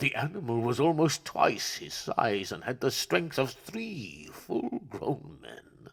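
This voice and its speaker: Using a put-on character voice, a man talks at a fairly high pitch and a fairly slow pace with hardly any pauses. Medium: read story.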